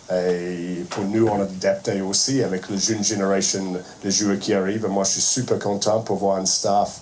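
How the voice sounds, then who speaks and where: Speaking at a fairly slow pace, a man with a fairly low pitch and a strong non-native accent delivers his words in a flat monotone, with noticeable background noise and audible room echo. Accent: strong foreign accent in French. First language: not French (speaking French). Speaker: rugby head coach. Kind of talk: press conference speech. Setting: press conference room. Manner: halting, many hesitations.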